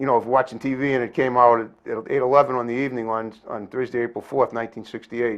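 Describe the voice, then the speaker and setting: Against a quiet background, the speech runs at a very fast pace with hardly any pauses and monotone, flat intonation. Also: man, medium pitch for a man. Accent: American. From Massachusetts (Brockton). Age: 60s. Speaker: community TV talk show host. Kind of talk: casual interview chat.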